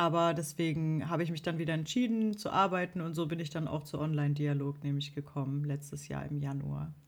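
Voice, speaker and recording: At a fairly quick pace, a woman talks with a very deep, low pitch. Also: ordinary pitch variation. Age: 30s. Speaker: social media manager and musician. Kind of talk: interview. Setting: video call.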